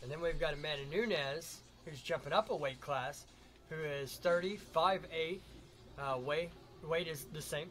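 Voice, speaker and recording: With music in the background, a man with a fairly high pitch talks using fairly even intonation. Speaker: livestream host. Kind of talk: live commentary. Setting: live stream. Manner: fast.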